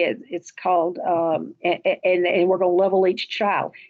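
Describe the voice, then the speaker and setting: The speaker is a woman. Her voice has a medium pitch. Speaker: school principal, education presenter. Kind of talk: presentation. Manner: fast.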